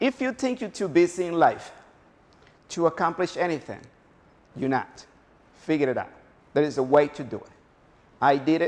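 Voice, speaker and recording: A high-pitched man's voice with a Spanish accent, very wide pitch swings, a moderate pace and long, frequent pauses. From Honduras. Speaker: motivational speaker. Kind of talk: motivational talk. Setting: stage with audience.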